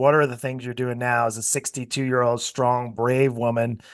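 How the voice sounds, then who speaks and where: Here a man talks at a fairly quick pace. His pitch sits in the medium range. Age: 50s. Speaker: podcast host and fitness coaching business owner. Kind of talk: interview. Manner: animated.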